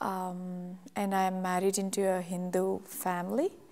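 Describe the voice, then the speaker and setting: A woman speaks in a Telugu accent at a medium pitch. Her intonation is monotone and flat. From India, Telugu-speaking. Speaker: church member giving testimony. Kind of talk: testimony. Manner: halting, many fillers.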